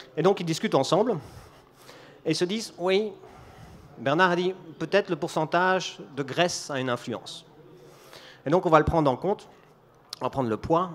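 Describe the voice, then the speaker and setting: A high-pitched man at a moderate pace, with ordinary pitch variation and long, frequent pauses. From Belgium. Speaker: business executive giving a conference talk. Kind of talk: conference talk.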